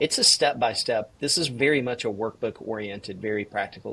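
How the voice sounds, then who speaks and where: Speaking fairly quickly with a slight Southern US accent, a man holds a medium pitch with ordinary pitch variation. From US South, Georgia (Valdosta). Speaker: executive coach and author. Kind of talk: podcast interview.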